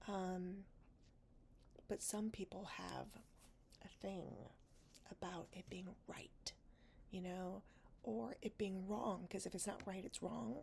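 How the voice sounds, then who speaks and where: A woman whispering, soft-spoken. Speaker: podcast host. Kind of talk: casual diary-style talk to camera, personal podcast. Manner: soft, honest, a little funny, with whispered moments.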